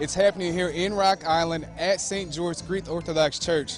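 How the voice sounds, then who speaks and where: Music plays in the background as a man speaks in a high pitch. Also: moderate pace. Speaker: TV news reporter. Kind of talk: TV news reporter reel, live field reporting and interviews. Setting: outdoors, live festival remote. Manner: upbeat, energetic, casual.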